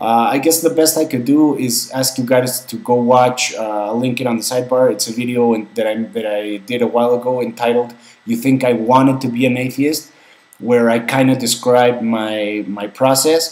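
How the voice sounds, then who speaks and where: A man speaks with fairly even intonation. Noticeable background noise can be heard. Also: medium pitch for a man, moderate pace. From Mexico. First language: Spanish. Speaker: vlogger. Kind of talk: casual Q&A vlog. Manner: halting, many fillers and repeats.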